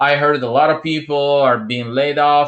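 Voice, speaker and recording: A man with an Italian accent has a fairly high pitch and a bright, sharp tone, with ordinary pitch variation. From Italy. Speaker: entrepreneur video host. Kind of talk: motivational talk to camera.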